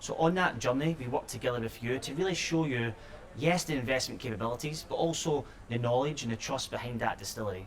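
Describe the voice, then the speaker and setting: The speech moves at a very fast pace. Background noise is noticeable. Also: man, medium pitch for a man, ordinary pitch variation. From Scotland. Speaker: company executive. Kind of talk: interview. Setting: noisy sherry bar.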